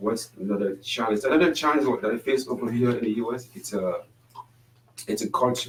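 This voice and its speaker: This man speaks at a fairly quick pace in a French accent. His pitch is medium, with ordinary pitch variation. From French-speaking Africa. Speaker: panelist. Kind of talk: panel discussion. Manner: halting.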